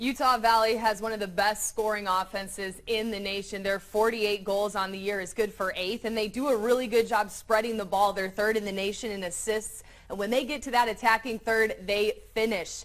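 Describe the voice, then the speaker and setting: Fairly quick and with hardly any pauses, a woman talks in an unremarkable speaking voice, fairly high in pitch, with fairly even intonation. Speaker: sports broadcaster. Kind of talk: soccer broadcast commentary.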